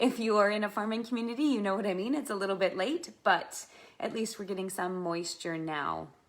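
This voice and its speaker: The woman has a normal speaking voice and a medium pitch with ordinary variation. Her pace is fairly quick. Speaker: fitness instructor. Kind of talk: live online exercise class instruction. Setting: livestream video.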